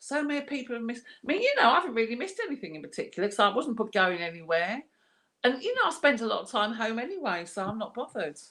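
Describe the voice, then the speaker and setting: A woman with an English accent speaks at a very fast pace in a bright, sharp tone. Her high voice makes very wide pitch swings, and her loudness swings widely too. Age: 60s. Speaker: art class host. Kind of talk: casual chat.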